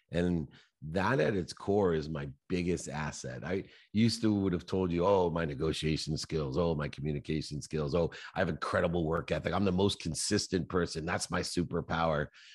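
There's vocal fry in this man's very deep, low voice. The background is quiet. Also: ordinary pitch variation, moderate pace. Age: 50s. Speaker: entrepreneur and motivational author. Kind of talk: interview.

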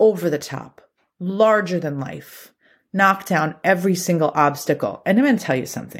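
On a very clean recording with a silent background, a woman with a plain, everyday voice speaks at a fairly low pitch with lively intonation. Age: 40s. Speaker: podcast host. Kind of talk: solo monologue. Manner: casual.

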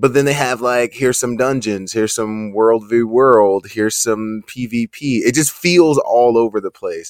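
A man's medium-pitched, normal speaking voice at a moderate pace, fairly even in intonation with hardly any pauses, on a very clean recording with a silent background. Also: dry, close sound with no echo. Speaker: Twitch streamer. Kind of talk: casual chat.

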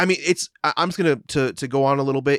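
A man with a medium-pitched voice talks in an animated tone, recorded very cleanly with a silent background and a dry, close sound free of echo. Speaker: podcast co-host. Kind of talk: casual chat.

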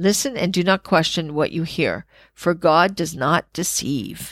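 The recording is very clean, with a silent background. A woman speaks at a fairly low pitch with ordinary pitch variation. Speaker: spiritual podcast host. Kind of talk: casual chat; reading aloud with commentary. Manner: fast.

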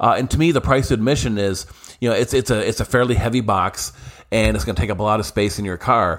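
With vocal fry, a man rattles along at a very fast pace with ordinary pitch variation. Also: fairly low pitch for a man. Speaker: professional magician and podcast host. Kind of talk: solo podcast monologue. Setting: hotel room on the road. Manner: hesitant, many fillers.

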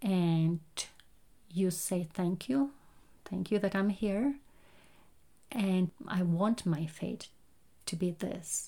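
A woman's somewhat breathy, dark and mellow voice at medium pitch, very slow pace and ordinary pitch variation, with long, frequent pauses. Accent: non-native. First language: not English. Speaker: meditation guide and podcast host. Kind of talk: guided meditation talk, personal reflection. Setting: home recording, no studio. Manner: hesitant, many fillers.

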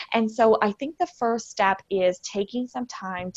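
A woman with an American accent speaks at a fairly slow pace with ordinary pitch variation, an unremarkable speaking voice, in a dry, close recording with no echo. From US Midwest (Michigan). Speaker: wellness coach, former paramedic. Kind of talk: podcast interview.

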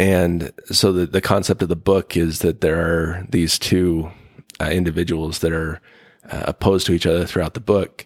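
Heard with a dry, close sound and no echo, a man speaks at a moderate pace in a very deep, low voice with monotone, flat intonation. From US West, northern Utah. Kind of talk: interview conversation. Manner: halting, many fillers.

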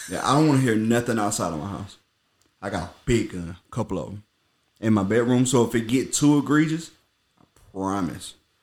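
On a very clean recording with a silent background, a man of medium pitch speaks at a fairly quick pace with long, frequent pauses, lively intonation and big swings in loudness. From US South. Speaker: podcast host. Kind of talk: casual chat. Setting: indoors at a friend's house.

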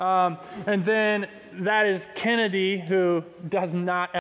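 In a Texan accent, a man speaks with a high pitch. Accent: Texan (US Southern). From Texas, Pearland. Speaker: youth pastor. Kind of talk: sermon. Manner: casual.

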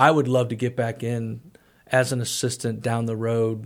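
The speaker has a Midwestern American accent. The recording is very clean, with a silent background. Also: man. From US Midwest, St. Louis area. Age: 50s. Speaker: college athletic director. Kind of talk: casual interview. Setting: studio.

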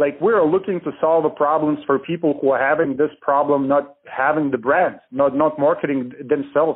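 An unremarkable speaking voice from a man, fairly high in pitch, at a moderate pace with hardly any pauses, fairly even intonation and very even loudness. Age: 30s. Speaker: real estate marketing business owner. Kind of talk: podcast interview. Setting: phone call.

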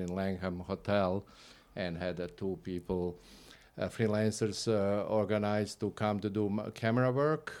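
With a Croatian accent, a man speaks in a very deep, low voice. His pace is moderate and his intonation fairly even. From Croatia (Split, former Yugoslavia). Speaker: videographer. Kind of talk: interview.

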